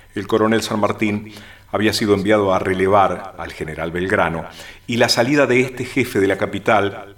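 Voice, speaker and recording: The man has an unremarkable speaking voice, fairly low in pitch, with ordinary pitch variation. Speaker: radio co-host and announcer. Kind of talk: radio conversation and reading documents aloud.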